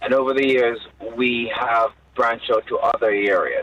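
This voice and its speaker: A man with a Jamaican accent over noticeable background noise. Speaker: bishop, charity leader. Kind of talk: radio interview.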